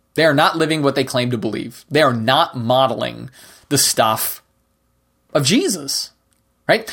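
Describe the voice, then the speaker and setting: This man, who has an unremarkable speaking voice, talks at a moderate pace with a fairly high pitch in a very clean recording with a silent background. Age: 50s. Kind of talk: solo monologue podcast.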